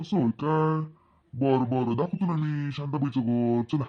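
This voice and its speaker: A man's cartoonish character voice, fairly high-pitched, with ordinary pitch variation, very even loudness and a fairly slow pace. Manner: nosy, eager.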